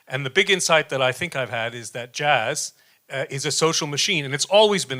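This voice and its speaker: A man with a New York accent speaks at a fairly quick pace in a bright, sharp tone with ordinary pitch variation. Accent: New York American. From US, New York. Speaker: professor, jazz researcher. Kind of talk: panel presentation. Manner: fast; halting, many fillers.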